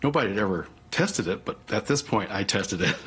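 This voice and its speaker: Noticeable background noise fills the clip. The man talking has an American accent. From US Southwest. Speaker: Pixar co-founder, interviewee. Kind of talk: documentary interview. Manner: animated.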